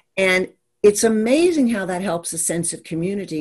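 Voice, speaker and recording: Speaking at a moderate pace in an American accent, a woman has an unremarkable speaking voice with a medium pitch and lively intonation. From Maryland, US. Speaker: business strategist. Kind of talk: interview chat.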